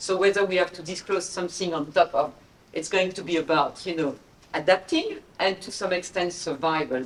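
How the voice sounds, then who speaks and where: Against noticeable background noise, a woman with a French accent speaks at a medium pitch. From France. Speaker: investment executive on a panel. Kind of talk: panel discussion.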